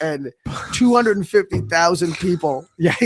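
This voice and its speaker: A man speaks loudly at a high pitch. His pace is fairly quick, with ordinary pitch variation. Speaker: podcast co-host. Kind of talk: casual chat.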